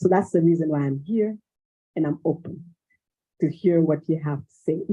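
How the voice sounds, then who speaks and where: Delivered at a moderate pace, this voice carries a Malian accent. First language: Bambara. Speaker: cultural exchange organizer. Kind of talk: panel discussion.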